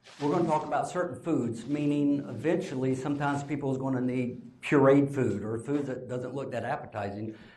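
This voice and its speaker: A man speaks fairly quickly, with hardly any pauses. There is noticeable background noise and audible room echo. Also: medium pitch for a man, ordinary pitch variation. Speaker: speech pathologist. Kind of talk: conference lecture. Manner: casual, conversational.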